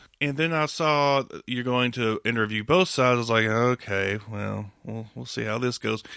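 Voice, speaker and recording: With a Southern accent, a man talks at a moderate pace with hardly any pauses. His tone is bright and sharp, at a medium pitch with ordinary variation. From US South. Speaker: podcast host. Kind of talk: casual interview chat.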